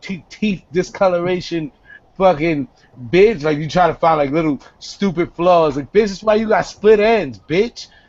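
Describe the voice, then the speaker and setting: With an animated tone, a man speaks in a high voice. He keeps a moderate pace and ordinary pitch variation. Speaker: web show host. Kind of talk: casual chat.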